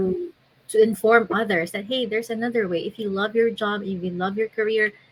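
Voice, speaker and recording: A soft-spoken, somewhat breathy woman at a fairly quick pace. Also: fairly high pitch for a woman, ordinary pitch variation. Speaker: digital business owner. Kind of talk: interview answer.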